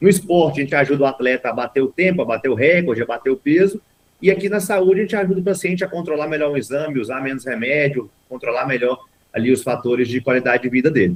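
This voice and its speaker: A man with a Minas Gerais accent talks at a very fast pace. His voice is fairly high in pitch, with lively intonation. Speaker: sports medicine doctor. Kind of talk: interview. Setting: video call.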